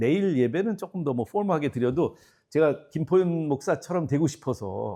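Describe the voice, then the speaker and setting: A man talks at a moderate pace with a fairly high pitch. His tone is dark and mellow, and his intonation lively. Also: very clean recording, silent background. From South Korea. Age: 60s. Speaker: guest pastor. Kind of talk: revival meeting sermon. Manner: casual, relaxed.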